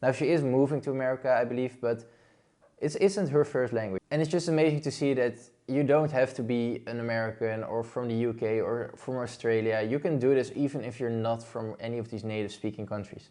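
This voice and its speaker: This man has a Dutch accent and a medium pitch with ordinary variation. His tone is dark and mellow, and his pace is fairly quick. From Netherlands. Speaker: blogging YouTuber. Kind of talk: online tutorial. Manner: casual.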